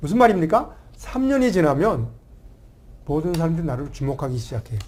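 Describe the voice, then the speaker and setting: The man talks at a fairly quick pace. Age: 60s. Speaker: family life coach and author. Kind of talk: talk show interview. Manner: animated.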